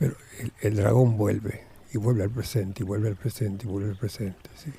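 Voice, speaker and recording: Here a man with a fairly low pitch talks at a fairly quick pace, keeping his intonation fairly even. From Argentina, Buenos Aires. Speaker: Zen monk. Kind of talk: radio interview. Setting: radio studio.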